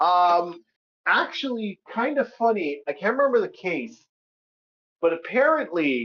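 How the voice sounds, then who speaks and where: The speaker talks at a fairly slow pace with a Canadian accent. Long, frequent pauses break up the speech. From Canada. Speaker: gaming and pop culture commentator. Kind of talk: casual chat. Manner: halting, many repetitions.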